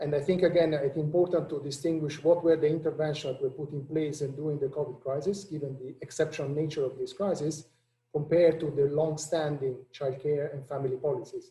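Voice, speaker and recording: Very fast, flat and monotone speech comes in an Italian accent. The tone is dark, mellow and somewhat breathy. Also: man, fairly high pitch for a man. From Italy. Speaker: international economist, policy director. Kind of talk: panel discussion.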